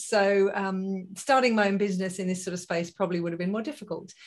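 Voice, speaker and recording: Against a quiet background, a woman with an English accent talks at a fairly quick pace, her pitch varying in an ordinary way. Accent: English accent noticeable. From UK. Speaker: positive psychology consultant and business founder. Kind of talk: interview.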